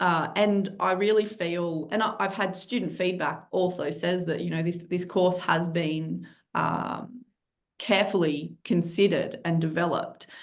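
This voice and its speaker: With vocal fry and a fairly low pitch, a woman talks at a fairly slow pace amid audible room echo. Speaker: criminology lecturer. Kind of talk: webinar presentation.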